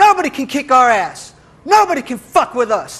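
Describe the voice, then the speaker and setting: At a moderate pace, a man speaks in a raised, projected voice with an animated tone. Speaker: spoken-word poet. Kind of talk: spoken-word poem performance, satirical. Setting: stage with live audience. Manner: animated, aggressive, mock-swaggering, sarcastic, punchy and rhythmic.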